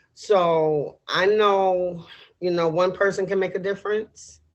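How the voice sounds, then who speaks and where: A woman's unremarkable speaking voice, fairly low in pitch, with ordinary pitch variation. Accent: American. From New York City, Harlem. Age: 60s. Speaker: political candidate. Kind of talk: interview. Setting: podcast.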